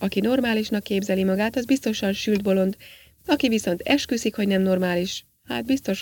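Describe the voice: With ordinary pitch variation, the speaker does plain reading aloud.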